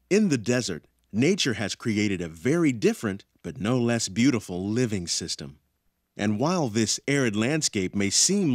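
A man's voice with very wide pitch swings, in a dry sound with no echo. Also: quiet background. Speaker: ride narrator. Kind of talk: scripted narration.

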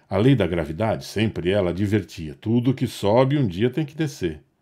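On a very clean recording with a silent background, a man talks at a moderate pace. His dark, mellow voice has lively intonation. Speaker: narrator. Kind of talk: scripted storytelling narration with dramatic, nostalgic flourishes. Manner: warm, measured storyteller delivery; wistful, theatrical pacing with emphatic pauses.

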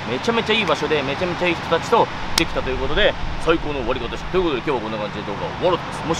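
A man speaks in a dry sound with no echo. Loud background noise runs behind him. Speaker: fitness vlogger. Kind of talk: casual vlog chat. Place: beach. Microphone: phone near.

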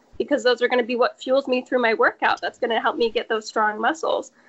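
This voice belongs to a woman. Her pitch is high. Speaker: podcast guest. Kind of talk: casual, enthusiastic. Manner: fast talker.

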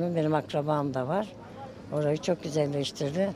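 A woman speaks at a fairly slow pace with a very deep, low pitch and ordinary pitch variation. The sound is dry with no echo, though noticeable background noise is present. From Sivas, Turkey; Turkey. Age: 70s. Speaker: passer-by interviewed on the street; interviewee. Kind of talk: street interview. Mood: earnest, somewhat complaining. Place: street.

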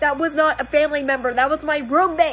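A woman talks at a moderate pace in a high pitch. Light background noise sits behind her. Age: 30s. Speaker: YouTuber. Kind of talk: video monologue. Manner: animated. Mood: tearful, upset, defensive. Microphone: phone near.

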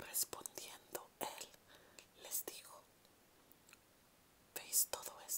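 A speaker whispers very slowly, pausing long and often, with noticeable background noise. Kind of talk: ASMR Bible reading. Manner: whispered, soft-spoken.

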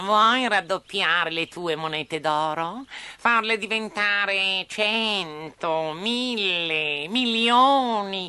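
A put-on character voice, female-sounding, at medium pitch for a woman, very slow pace, over a quiet background. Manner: smooth, courteous, wheedling.

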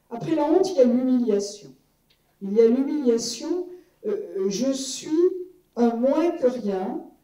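Very slow speech with very wide pitch swings and long, frequent pauses, plus light background noise and audible room echo. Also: woman, high pitch for a woman. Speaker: law professor, former MP; panel member. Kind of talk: public conference talk. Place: hall.

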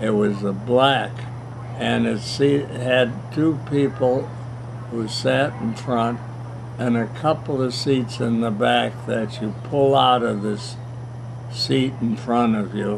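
A man at medium pitch with monotone, flat intonation, a very slow pace and long, frequent pauses, over noticeable background noise. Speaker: grandfather telling family stories. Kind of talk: interview answer, reminiscing. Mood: warm, reminiscing, amused. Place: garden. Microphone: camera far.

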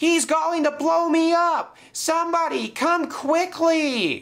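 A man puts on a character voice with an extremely high pitch, vocal fry and a fairly bright tone, speaking at a slow pace. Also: ordinary pitch variation.

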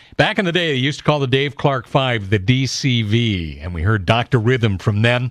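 A man speaks with an ordinary speaking voice at medium pitch and a moderate pace, his intonation lively and hardly any pauses, against a quiet background in a dry sound with no echo. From Southern California. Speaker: classic rock radio host. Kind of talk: radio show host patter between songs. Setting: radio broadcast. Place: studio.

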